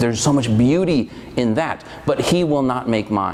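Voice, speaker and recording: With noticeable background noise and audible room echo, a man in a Spanish accent talks at a moderate pace and medium pitch with ordinary pitch variation. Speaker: college dean. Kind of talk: podcast interview.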